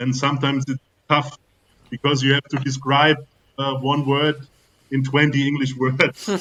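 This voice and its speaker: A man with a German accent talks at a moderate pace in a fairly high, bright, sharp voice with monotone, flat intonation and long, frequent pauses, recorded dry and close with no echo. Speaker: football business expert. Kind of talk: casual panel discussion. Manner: halting.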